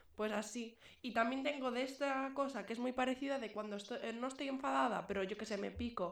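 A woman speaks loudly in a high voice with fairly even intonation over noticeable background noise. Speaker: podcast co-host. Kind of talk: casual chat. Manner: fast.

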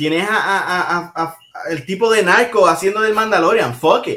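A man with a Puerto Rican accent, a high pitch, a raised, projected voice and a bright, sharp tone, at a very slow pace with ordinary pitch variation. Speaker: podcast co-host. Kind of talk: casual chat. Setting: live stream.

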